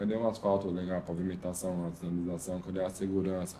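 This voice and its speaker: A man's dark, mellow tone with audible room echo. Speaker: graffiti artist and visual artist. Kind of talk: casual interview chat.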